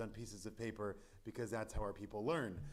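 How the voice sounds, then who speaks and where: Male speech with audible room echo. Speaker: rabbi. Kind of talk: Torah study lecture. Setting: synagogue chapel with live stream. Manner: loud; halting, many fillers.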